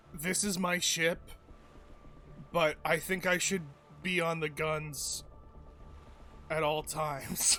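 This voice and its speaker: A raspy, put-on character voice, monotone and flat, at a fairly slow pace with long, frequent pauses, over clear background music. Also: man, high pitch for a man. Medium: actual play. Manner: hesitant, halting, with filler words.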